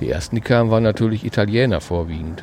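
Against noticeable background noise, a man talks at a fairly quick pace in a fairly low pitch. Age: 60s. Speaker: retired police officer. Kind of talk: casual chat. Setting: outdoors.

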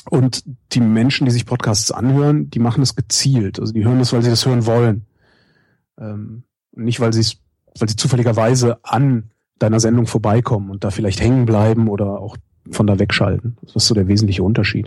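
A man with a somewhat breathy medium-pitched voice, fairly even intonation and a fairly quick pace. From Germany, Cologne. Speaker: radio host and podcaster. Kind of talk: interview.

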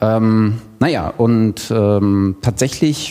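A man's fairly low voice, with ordinary pitch variation, comes through noticeable background noise. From Thuringia, Germany. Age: 30s. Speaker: podcaster and e-learning designer. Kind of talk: self-introduction at workshop. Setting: workshop room with live audience.

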